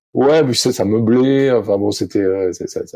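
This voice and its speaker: This man's dark, mellow tone sits at medium pitch, with ordinary pitch variation and a moderate pace. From southwest France (Arcachon basin). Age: 50s. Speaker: sailing coach. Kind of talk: podcast interview. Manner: halting, many fillers.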